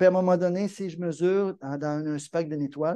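Against a quiet background, a man with a Quebec accent speaks in a high-pitched voice with a dark, mellow tone and ordinary pitch variation. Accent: Québécois French. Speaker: amateur astronomy club presenter. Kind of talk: lecture.

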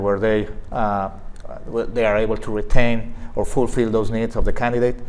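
A man with a Spanish accent speaks with fairly even intonation. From Mexico. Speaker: veterinarian and staffing agency director. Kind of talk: interview. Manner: halting. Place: studio. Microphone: lapel.

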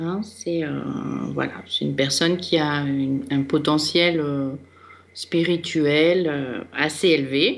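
A woman speaks at a very slow pace. Her voice is very deep and low, with ordinary pitch variation. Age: 50s. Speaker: astrologer and psychogenealogy reader. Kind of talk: radio consultation. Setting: radio studio.

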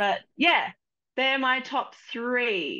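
Very slowly, a woman speaks at a fairly high pitch in a bright, sharp tone with big pitch swings.

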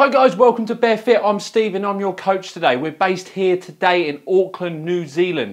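Against a quiet background, a man speaks at a fairly quick pace. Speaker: fitness coach. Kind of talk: tutorial. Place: gym. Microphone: lapel.

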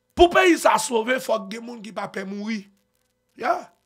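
A man with a Haitian accent speaks at a moderate pace in an animated tone with lively intonation, against a quiet background. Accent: Haitian Creole-accented French. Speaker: online news commentator. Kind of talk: news commentary. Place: studio. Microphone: studio mic.

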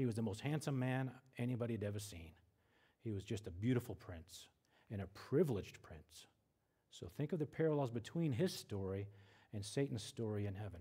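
A man with an American accent speaks fairly quickly in a somewhat breathy, dark, mellow tone at medium pitch, with lively intonation. He leaves long, frequent pauses against a quiet background. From western US. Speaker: Bible teacher. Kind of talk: lecture.

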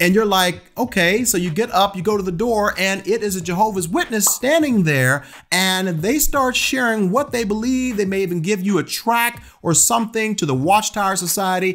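With hardly any pauses, a man speaks at a moderate pace in a high voice whose pitch varies in an ordinary way. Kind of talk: teaching vlog commentary. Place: home room. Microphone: studio mic.

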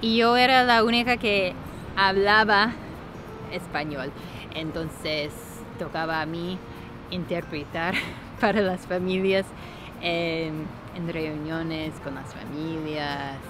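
A woman's fairly low voice at a very slow pace, long, frequent pauses, big swings in loudness, audible room echo and music in the background. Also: ordinary pitch variation. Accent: slight Argentine. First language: English (speaking Spanish). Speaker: vlogger. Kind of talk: casual vlog storytelling.

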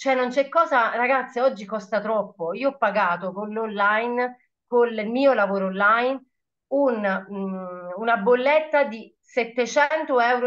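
Very slow speech over a quiet background. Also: woman. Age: 30s. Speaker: shop assistant and network marketer. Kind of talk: testimony. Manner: animated. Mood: enthusiastic, motivational. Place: home room. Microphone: webcam.

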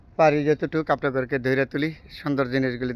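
A man speaks at a medium pitch. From Bangladesh, Narsingdi district. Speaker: vlogger. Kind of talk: casual vlog narration. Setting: outdoors, travelling through a village.

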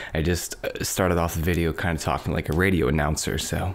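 A soft-spoken man over light background noise. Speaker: ASMR creator. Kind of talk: ASMR soft-spoken rambling. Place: home room.

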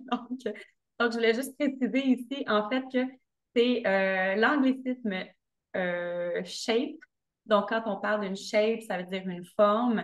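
A woman at a very slow pace, with ordinary pitch variation, against a quiet background. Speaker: podcast guest. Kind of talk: interview answer. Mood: cheerful, smiling. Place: home room. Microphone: video call.

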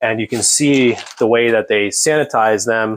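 The speech moves at a moderate pace, with light background noise behind it. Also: man. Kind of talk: tutorial. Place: workshop. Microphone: phone near.

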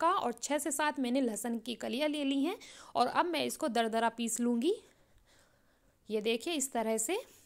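The background stays quiet. A woman speaks at a moderate pace with ordinary pitch variation. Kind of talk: cooking tutorial. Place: kitchen.

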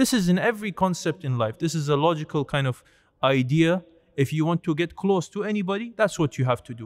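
The setting is quiet. A man talks at a fairly quick pace. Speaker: religious teacher. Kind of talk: lecture. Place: church. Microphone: studio mic.

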